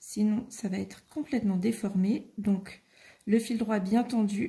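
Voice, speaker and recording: Very slowly, a woman speaks in a fairly high, somewhat breathy voice with a dark, mellow tone and fairly even intonation. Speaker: craft tutorial maker. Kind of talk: tutorial. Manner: soft-spoken.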